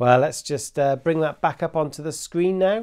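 The speech moves at a fairly slow pace with ordinary pitch variation. The background is quiet. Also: man. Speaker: Sunday school teacher. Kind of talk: children's Sunday school talk. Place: home room.

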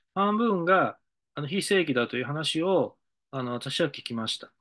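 Against a quiet background, a man speaks in a bright, sharp tone, his pitch swinging very widely. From Japan, Hiroshima (Mihara); Hiroshima, Japan. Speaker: decision-making consultant. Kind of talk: monologue lecture; lecture-style monologue. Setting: studio. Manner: halting, many fillers. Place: office. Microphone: webcam.

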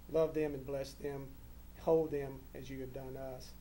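A moderate pace with light noise in the background. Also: man. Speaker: council chair leading meeting. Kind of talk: meeting opening and public prayer. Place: hall.

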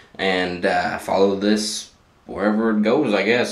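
Audible room echo surrounds a man speaking at a fairly low pitch. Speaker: vlogger. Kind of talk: casual vlog chat. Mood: relaxed, end of day. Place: bathroom. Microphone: phone near.

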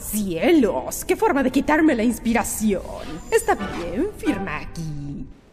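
In a put-on character voice, a woman speaks at a fairly slow pace with a fairly high pitch while music plays clearly in the background. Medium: dub.

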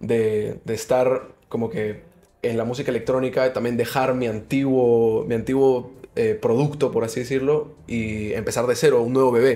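A man talks at a fairly slow pace with a dark, mellow tone. His pitch is medium and his intonation fairly even. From Peru. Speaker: musician and DJ; guest. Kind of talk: casual interview. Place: studio. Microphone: studio mic.

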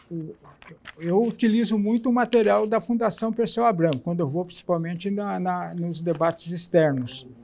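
Speech delivered at a moderate pace with lively intonation. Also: man, high pitch for a man. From interior of São Paulo state, Brazil. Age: 70s. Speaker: anti-racism activist and party militant; interviewee. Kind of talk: oral history interview; interview answer. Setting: auditorium. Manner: halting, with many restarts. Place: hall. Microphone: lapel.

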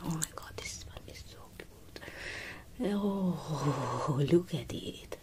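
A woman is heard against noticeable background noise. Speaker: presenter. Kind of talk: casual product show-and-tell. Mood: delighted, admiring. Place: shop. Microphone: phone near.

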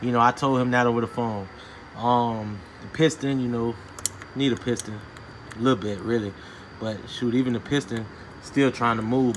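A man at a moderate pace with long, frequent pauses and fairly even intonation, over noticeable background noise. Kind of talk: casual explanatory commentary. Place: garage. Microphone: phone near.

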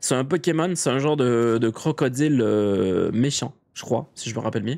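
This is a male voice. The delivery is fairly slow. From Quebec. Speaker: video game streamer. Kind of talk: casual live stream chat. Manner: animated, hesitant with many fillers.

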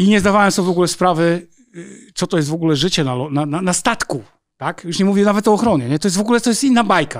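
A man's high-pitched voice races at a very fast pace with lively intonation. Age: 50s. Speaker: former soldier, counterintelligence agent and undercover police officer. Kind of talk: casual interview.

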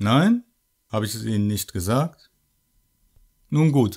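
A man's medium-pitched voice in a sinister, theatrical tone, with very wide pitch swings. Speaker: shopkeeper character narrator. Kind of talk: scripted horror shopkeeper monologue, creepy storytelling addressed to the listener. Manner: smooth, sinister politeness, slow and theatrical, with mock-friendly menace.

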